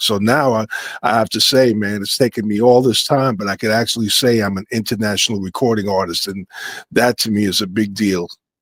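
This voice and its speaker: With a New York accent, a man talks at a moderate pace using fairly even intonation. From New York City, Brooklyn. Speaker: musician. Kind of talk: interview. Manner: halting.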